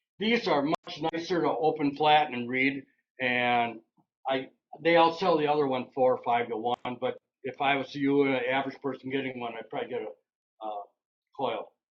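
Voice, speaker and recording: With an Upper Midwest accent, a man speaks in a fairly high pitch using ordinary pitch variation. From Wisconsin. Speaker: local railroad historian and author. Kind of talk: slide presentation talk. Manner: fast; casual.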